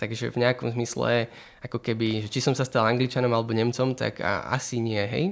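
At a fairly quick pace, a man talks in a plain, everyday voice with medium pitch and ordinary pitch variation. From Slovakia, Bratislava. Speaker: doctoral student and author. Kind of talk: interview. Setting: studio in Bratislava.

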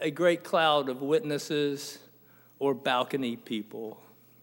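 Ordinary pitch variation and a fairly slow pace from a man. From US South, Tampa, Florida. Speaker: Baptist preacher. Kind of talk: sermon. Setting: church. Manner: halting, frequent repeats and fillers.

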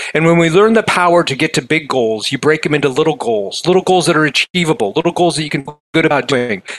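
Noticeable background noise surrounds the recording. A man talks with ordinary pitch variation. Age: 50s. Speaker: motivational author and keynote speaker. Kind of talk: podcast interview.

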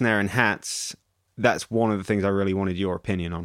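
A man speaks in a plain, everyday voice, fairly low in pitch with fairly even intonation. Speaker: podcast host. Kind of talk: casual banter, comedic chat. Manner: deadpan, dry.

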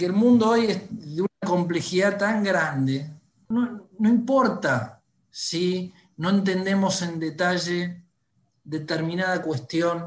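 The man's pitch is high. He speaks at a very slow pace. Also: ordinary pitch variation. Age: 40s. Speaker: newspaper executive. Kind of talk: interview.

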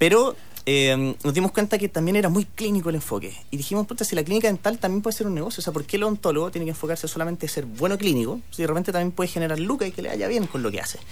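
The delivery runs at a very fast pace with hardly any pauses. Its intonation is lively. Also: man, high pitch for a man. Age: 30s. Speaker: tech entrepreneur. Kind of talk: radio interview.

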